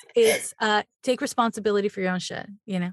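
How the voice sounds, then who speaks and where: In a dry, close sound with no echo, a woman talks very fast at medium pitch with ordinary pitch variation. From Quebec, Montreal. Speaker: astrologer. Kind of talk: casual interview.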